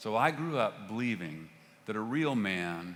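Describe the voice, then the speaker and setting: A man with a fairly low pitch is heard in a room with audible echo. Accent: Texan. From Texas (Fort Worth). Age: 60s. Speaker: pastor. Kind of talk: sermon. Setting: church stage. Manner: halting.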